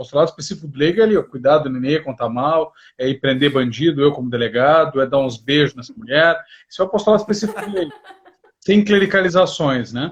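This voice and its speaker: Speaking at a very fast pace, a man with a fairly high voice uses lively intonation and big swings in loudness. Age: 40s. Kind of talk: livestream interview.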